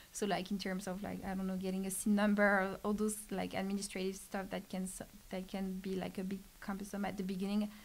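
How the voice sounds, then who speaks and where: In a French accent, a woman rushes along at a very fast pace with hardly any pauses, her somewhat breathy voice at medium pitch and her intonation monotone and flat. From France. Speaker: startup program specialist. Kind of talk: casual podcast interview. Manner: halting, many fillers.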